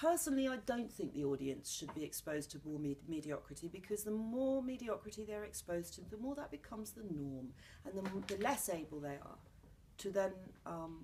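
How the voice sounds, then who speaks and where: With a southern English accent, a woman speaks fairly quickly at a medium pitch, her somewhat breathy voice dark and mellow in tone and swinging very widely in pitch. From London, England. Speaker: playwright and actor. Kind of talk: interview. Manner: animated.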